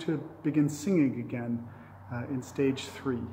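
Over light background noise, the speech moves at a moderate pace with fairly even intonation. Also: man. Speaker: pastor. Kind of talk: church announcements and service opening. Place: church. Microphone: phone near.

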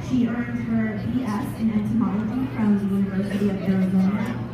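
Amid strong room echo and noticeable background noise, a woman speaks at a moderate pace. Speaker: event host. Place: bar. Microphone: camera far.

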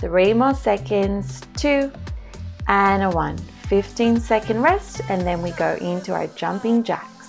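Faint music plays in the background as the voice proceeds at a fairly slow pace. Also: woman. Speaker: fitness instructor. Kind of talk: workout instruction cues.

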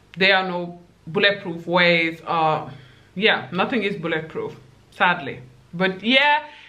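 A woman with a fairly low pitch speaks at a fairly slow pace, leaving long, frequent pauses. Her intonation is lively and her tone animated. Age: 20s. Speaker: YouTuber giving dating advice. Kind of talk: casual vlog monologue. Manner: animated, laughs often. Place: home room.

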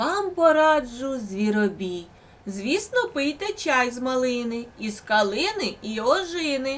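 Someone delivers a put-on character voice at a fairly slow pace. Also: woman, high pitch for a woman. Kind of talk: bedtime story. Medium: read story.

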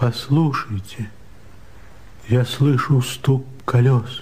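Speaking very slowly in a put-on character voice, a man sounds hoarse at a medium pitch with fairly even intonation over light background noise. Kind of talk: 1970s Soviet radio theatre. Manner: despairing, tormented.

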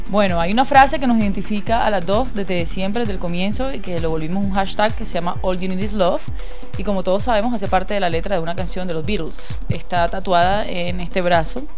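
Delivered at a very fast pace with ordinary pitch variation, the speech plays over clear music in the background. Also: woman. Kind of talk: casual home tour commentary. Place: home room. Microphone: handheld.

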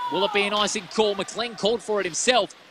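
A man's raised, projected voice in an Australian accent, high-pitched and excited, dry with no echo, over noticeable background noise. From Western Australia. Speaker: ice hockey commentator. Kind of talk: live play-by-play ice hockey commentary, rapid puck-tracking calls. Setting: commentary box at ice rink, live stream. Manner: quick clipped name-calling of players as the puck moves; excited rhetorical questions mid-play, self-correcting in the rush. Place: stadium.

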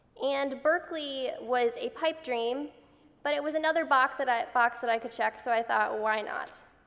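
At a moderate pace, a woman talks in a high voice. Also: ordinary pitch variation. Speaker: patient advocate and university student; speaker. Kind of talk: conference speech. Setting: stage with audience. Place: hall. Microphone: podium.

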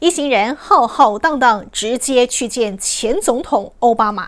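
At a very slow pace, a woman talks in a high voice. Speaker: news anchor. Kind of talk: TV news anchor reading. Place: studio.

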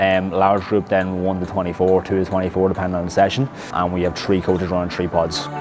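Faint music plays in the background. A man with a very deep, low voice speaks at a very fast pace. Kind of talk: interview answer. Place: gym. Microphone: lapel.

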